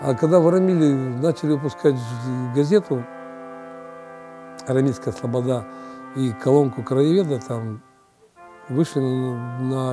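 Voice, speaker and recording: A man speaks at a moderate pace with lively intonation and long, frequent pauses. Music plays in the background. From Yekaterinburg, Russia. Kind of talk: interview answer.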